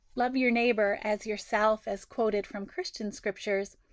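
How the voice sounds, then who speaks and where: A woman with an unremarkable speaking voice speaks at a fairly high pitch with fairly even intonation. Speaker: interfaith minister. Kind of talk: sermon delivered to a congregation.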